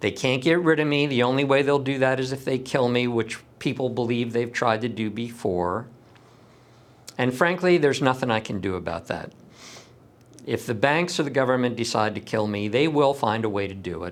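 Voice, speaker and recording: This man has an unremarkable speaking voice, medium in pitch, with ordinary pitch variation at a moderate pace. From US West Coast, San Diego. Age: 60s. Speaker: lawyer and activist. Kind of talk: personal monologue to camera.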